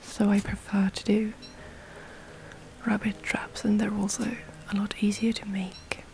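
With monotone, flat intonation and long, frequent pauses, a woman speaks over noticeable background noise. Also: medium pitch for a woman, fairly slow pace. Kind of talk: ASMR gameplay commentary. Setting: gameplay recording with breathing sounds. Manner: whispered.

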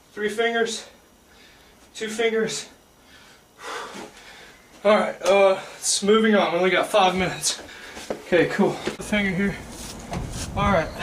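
Noticeable background noise sits behind a man with a high voice who speaks monotone and flat at a fairly slow pace, with long, frequent pauses. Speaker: amateur ninja warrior athlete. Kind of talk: casual talk to camera, contest entry video. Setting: outdoors, rainy.

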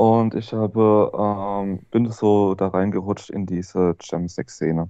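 With a dark, mellow tone and fairly low pitch, a man speaks at a very slow pace in a monotone, flat way, the sound dry with no echo and the background quiet. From Hesse, Germany. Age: 30s. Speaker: former drug user telling his story; interview guest. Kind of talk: interview testimony. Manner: halting. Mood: subdued, reflective. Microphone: video call.

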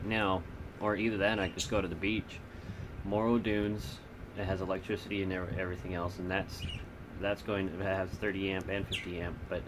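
Loud background noise fills the clip while a man speaks at a moderate pace. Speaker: vlogger. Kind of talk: casual vlog chat. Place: home room. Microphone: phone near.

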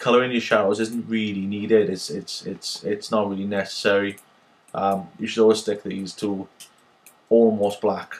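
With a Welsh accent, a man speaks at a fairly low pitch in a monotone, flat intonation. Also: moderate pace. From Wales. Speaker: 3D software tutorial maker. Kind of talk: screen-recorded software tutorial. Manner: casual, hesitant with many fillers.

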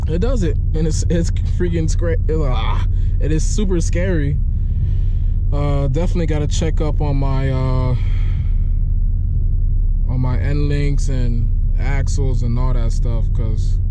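A man at a fairly slow pace with long, frequent pauses, over noticeable background noise. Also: dry sound with no echo. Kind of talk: casual vlog chat. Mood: excited, a bit shaken. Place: car. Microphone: phone near.

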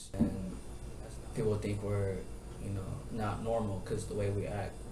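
At a moderate pace, a man speaks while noticeable background noise runs underneath. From Tacoma, Washington. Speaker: child of refugees telling his story. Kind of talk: interview answer. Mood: serious, reflective. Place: classroom. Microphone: camera far.

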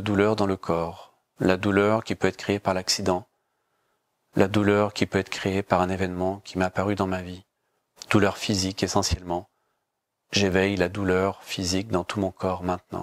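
A man speaks with very deep, low pitch in a calm, soothing tone and a flat monotone. The recording is very clean with a silent background and a dry, close sound with no echo. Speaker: yoga teacher guiding a class. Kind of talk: guided meditation (yoga nidra). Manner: slow, calm, soothing, with long pauses and repeated phrases; soft, measured, hypnotic delivery.

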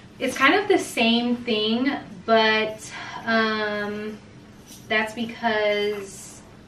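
Light background noise and audible room echo surround this recording. A woman speaks very slowly in a bright, sharp tone. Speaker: mom vlogger. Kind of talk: casual vlog chat. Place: kitchen. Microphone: camera far.

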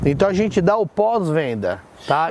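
Lively intonation in a dry sound with no echo, over light background noise. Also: man. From São Paulo state, Brazil. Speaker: event tent rental business owner. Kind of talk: interview. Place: garden.

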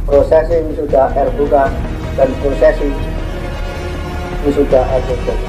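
A man talks at a fairly slow pace. Clear music runs behind him. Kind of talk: formal proclamation. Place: hall. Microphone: camera far.

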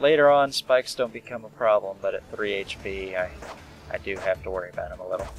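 A man mumbles quietly at a very fast pace, his loudness swinging widely, in a dry sound with no echo and with music in the background. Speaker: let's play gamer. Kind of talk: casual gameplay commentary. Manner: quiet, mumbling.

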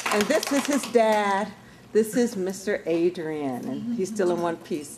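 Over noticeable background noise, the speech moves at a very slow pace. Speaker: family reunion organizer. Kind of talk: casual family gathering. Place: hall. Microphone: camera far.

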